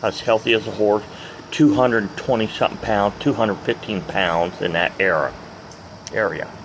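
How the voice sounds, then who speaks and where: Noticeable background noise surrounds a man speaking with a fairly low pitch. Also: ordinary pitch variation, moderate pace. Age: 60s. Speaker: retired truck driver, vlogger. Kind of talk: casual vlog monologue. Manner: rambling, unscripted with hesitations.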